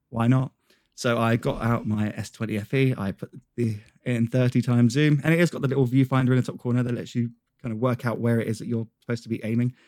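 On a very clean recording with a silent background and a dry, close sound with no echo, the speech runs at a very fast pace with fairly even intonation. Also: man, medium pitch for a man. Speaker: tech reviewer. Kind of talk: casual chat.

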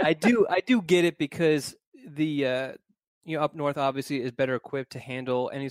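In a very clean recording with a silent background and a dry, close sound with no echo, a man with an American accent uses a plain, everyday voice at medium pitch and a fairly quick pace. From Philadelphia, US. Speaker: recruiting reporter. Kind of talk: casual chat.

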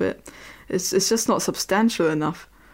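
A woman with a German accent, medium pitch and a fairly quick pace. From Germany, near Berlin (former East). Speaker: historian and podcast co-host. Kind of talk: casual chat. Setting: remote recording. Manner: hesitant, frequent fillers.

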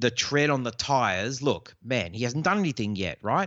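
At a moderate pace, a man speaks in an Australian accent with very wide pitch swings. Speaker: fantasy football podcaster. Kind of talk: casual chat.

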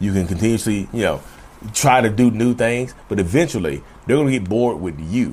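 The speaker has a Southern US accent. Pitch varies in an ordinary way. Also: man. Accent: Southern US drawl. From North Carolina. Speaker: mental health podcaster. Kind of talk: casual monologue. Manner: fast talker.

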